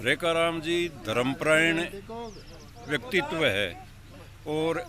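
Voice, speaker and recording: A man's high-pitched voice. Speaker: villager giving tribute. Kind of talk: speech at community gathering. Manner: halting.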